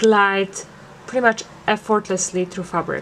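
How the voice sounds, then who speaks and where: A woman's medium-pitched voice with a non-native accent and fairly even intonation. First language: not English. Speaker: embroidery podcaster. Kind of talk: product review. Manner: hesitant, many fillers.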